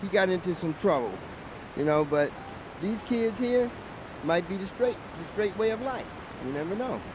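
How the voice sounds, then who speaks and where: A man's high-pitched voice at a moderate pace, with lively intonation, long and frequent pauses, and noticeable background noise. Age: 60s. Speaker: passerby, retiring music industry worker. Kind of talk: street debate.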